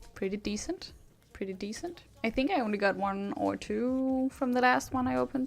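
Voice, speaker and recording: A woman speaks at a fairly high pitch in a Danish accent, with very wide pitch swings. Her pace is moderate, and there is noticeable background noise. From Denmark. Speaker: streamer. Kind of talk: live stream chat. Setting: live stream.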